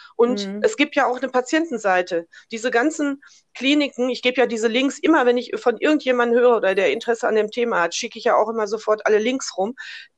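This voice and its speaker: A woman's high voice at a fairly quick pace. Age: 60s. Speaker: businesswoman and cancer-awareness advocate. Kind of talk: interview, personal story.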